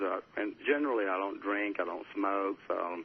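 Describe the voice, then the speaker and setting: A man's unremarkable speaking voice, fairly low in pitch, at a moderate pace with lively intonation. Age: 60s. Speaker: salon owner and hairstylist. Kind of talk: interview. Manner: casual, filler-heavy.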